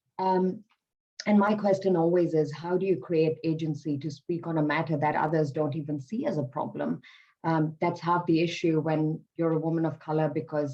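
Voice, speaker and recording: The speaker is a woman with a very deep, low pitch. Her intonation is fairly even. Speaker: public sector worker, panelist. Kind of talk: panel discussion.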